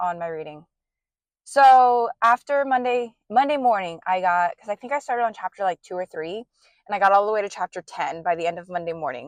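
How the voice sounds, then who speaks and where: A plain, everyday voice with ordinary pitch variation comes across in a dry, close sound with no echo. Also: woman. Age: 20s. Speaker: book vlogger. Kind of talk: casual vlog chat. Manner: casual with many fillers.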